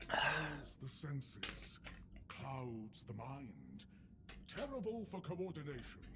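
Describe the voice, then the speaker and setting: Over clear background noise, a put-on character voice moves at a very slow pace. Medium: video game. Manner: chatty, gossipy.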